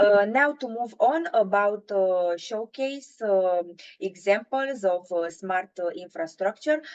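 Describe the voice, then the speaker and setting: Spoken in a Romanian accent at a very slow pace. There are hardly any pauses. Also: woman, medium pitch for a woman, lively intonation. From Romania, Bucharest. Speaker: intern presenting at a webinar. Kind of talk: webinar presentation. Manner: halting, many filler sounds.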